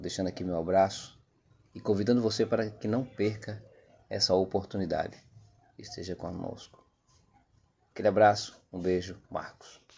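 With big swings in loudness and long, frequent pauses, a man speaks at a moderate pace, fairly low in pitch and with fairly even intonation. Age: 50s. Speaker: podcast host. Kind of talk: podcast introduction.

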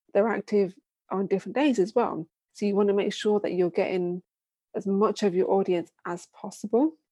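A woman with a British accent speaks at a moderate pace in a medium-pitched, dark, mellow voice with ordinary pitch variation, recorded dry and close with no echo. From UK. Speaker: video marketing business founder. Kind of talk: casual interview chat.

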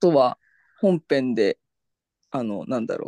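With a dark, mellow tone and fairly high pitch, a man speaks at a moderate pace in a dry, close sound with no echo. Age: 30s. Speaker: podcast host. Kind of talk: casual chat.

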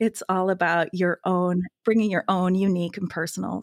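An unremarkable speaking voice moves at a moderate pace with fairly even intonation, in a dry, close, very clean recording with a silent background and no echo. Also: woman. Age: 50s. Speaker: gene keys reader and textile artist. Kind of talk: casual interview chat.

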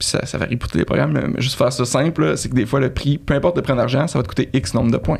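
A man with a Quebec accent speaks very fast at a medium pitch, with lively intonation and hardly any pauses. Noticeable background noise runs underneath. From Canada. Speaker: travel website co-founder. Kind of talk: interview.

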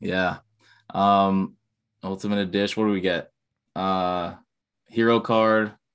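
A man with an American accent, fairly low in pitch and monotone in intonation, at a fairly slow pace with long, frequent pauses against a quiet background. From New Jersey, USA. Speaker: gaming streamer. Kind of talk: casual chat.

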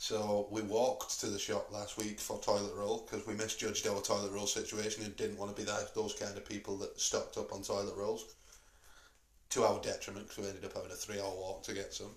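A man talks in a northern English accent. His pace is very fast. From northern England. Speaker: podcast host. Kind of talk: casual chat. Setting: in a pub.

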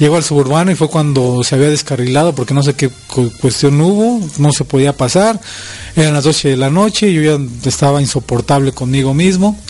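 Over music in the background, a man with a fairly high pitch talks at a fairly quick pace, his loudness very even and his pitch varying in an ordinary way. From Mexico City. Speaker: fraternity president and public speaker. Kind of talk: interview.

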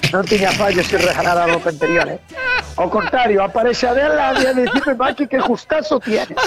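A man's extremely high-pitched voice with lively intonation at a moderate pace, over noticeable background noise. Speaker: truck driver. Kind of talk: casual chat.

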